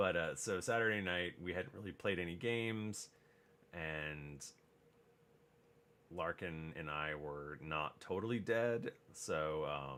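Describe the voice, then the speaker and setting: Soft-spoken and very deep, a man talks in a bright, sharp tone. He speaks at a very slow pace, with long, frequent pauses. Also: ordinary pitch variation. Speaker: crafting streamer. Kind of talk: casual live stream chat. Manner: soft-spoken, low talker.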